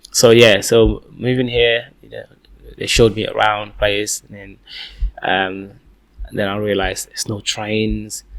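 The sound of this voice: A man speaks at a fairly slow pace, his fairly low pitch carrying a fairly bright tone with little pitch movement.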